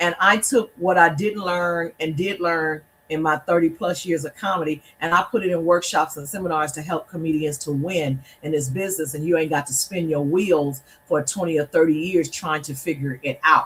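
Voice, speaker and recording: A woman speaks at a fairly quick pace in an unremarkable speaking voice. Her pitch is fairly low, with ordinary variation. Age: 60s. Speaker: comedian and event organizer. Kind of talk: interview.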